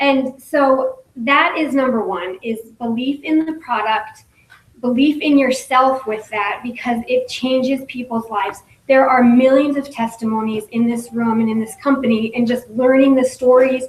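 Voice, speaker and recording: A woman speaks with a high pitch and ordinary pitch variation. Her voice is shaky. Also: moderate pace. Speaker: direct sales business leader, former nurse. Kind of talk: motivational talk at business meeting. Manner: shaky voice.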